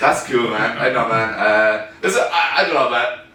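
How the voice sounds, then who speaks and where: Talking at a fairly quick pace with an Irish accent, a man holds a medium pitch with ordinary pitch variation, amid noticeable background noise and audible room echo. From Ireland. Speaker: comedian. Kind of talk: stand-up. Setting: stage with audience.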